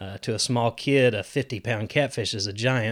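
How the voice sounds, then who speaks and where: A man's plain, everyday voice at medium pitch and a fairly quick pace, in a very clean recording with a silent background. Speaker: fisheries biologist. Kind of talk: interview.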